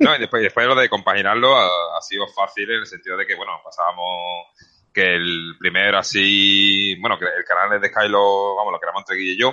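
A man with an Andalusian accent at a fairly quick pace. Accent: Andalusian Spanish (Seville). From Seville, Spain. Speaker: vaping channel creator. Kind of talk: casual chat. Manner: fast.

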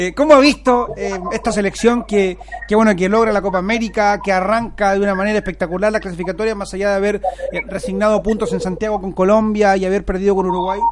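A man with a Chilean accent talks fairly quickly at a high pitch, with noticeable background noise. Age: 30s. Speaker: sports radio host. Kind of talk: casual chat.

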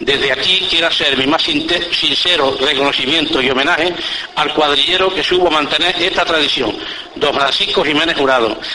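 A man with a fairly high pitch speaks in a solemn tone at a moderate pace, his loudness very even. His intonation stays fairly even against noticeable background noise. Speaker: Holy Week orator (pregonero). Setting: public event with audience, radio-recorded. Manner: solemn, measured and ceremonious, rhetorical; storytelling tone in anecdotes.

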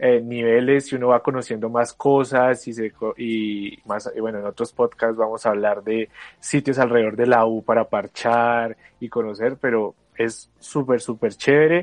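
A normal speaking voice from a man at medium pitch, fairly slow and fairly even in intonation, in a dry, close sound with no echo. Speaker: university student podcast co-host. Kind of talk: casual chat.

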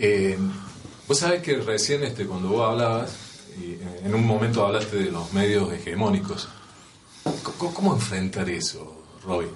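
Amid audible room echo and noticeable background noise, a man with a fairly low pitch and lively intonation speaks at a moderate pace, leaving long, frequent pauses. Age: 60s. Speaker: union leader and show host. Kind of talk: interview.

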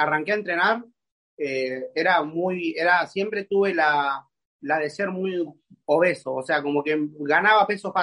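A man speaks at a fairly slow pace, his voice high-pitched with ordinary pitch variation. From Argentina, Buenos Aires conurbano. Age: 20s. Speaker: calisthenics athlete. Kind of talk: casual interview chat. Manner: halting, repeats words.

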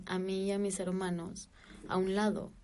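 A woman speaks with a Mexican accent. Her pace is fairly slow. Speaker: podcast co-host. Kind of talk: casual chat.

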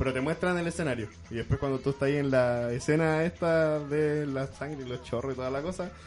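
A man at a fairly quick pace with ordinary pitch variation, amid noticeable background noise. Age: 20s. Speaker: film fan guest. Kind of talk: casual chat.

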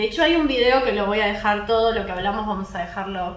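A woman's speech comes through audible room echo, with noticeable background noise behind it. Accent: Rioplatense. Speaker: podcast host. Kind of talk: casual chat. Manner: animated.

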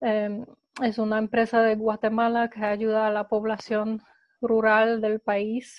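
A woman speaks with a Polish accent in a flat monotone. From Poland. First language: Polish (speaking Spanish). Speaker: eco startup co-founder. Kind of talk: interview. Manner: halting.

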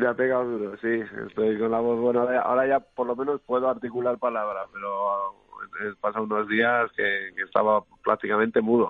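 The man's intonation is monotone and flat. He talks at a fairly quick pace in a medium pitch. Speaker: filmmaker. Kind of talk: casual chat.

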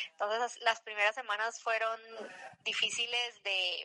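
Over noticeable background noise, a woman speaks fairly slowly in a fairly high voice with fairly even intonation. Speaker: amateur runner. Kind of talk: interview testimony.

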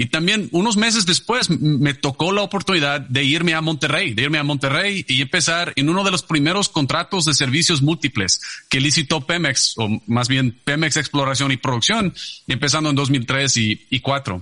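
Over noticeable background noise, a man speaks at a moderate pace in a fairly high pitch. His intonation is lively and the sound is dry and close, with no echo. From Texas, San Antonio. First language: English (speaking Spanish). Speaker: energy company executive. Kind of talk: interview. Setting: video call. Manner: halting, repeats words.

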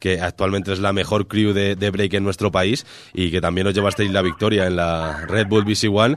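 The recording is very clean, with a silent background. A man talks at a moderate pace with a fairly low pitch. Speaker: radio host. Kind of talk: interview. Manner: halting.

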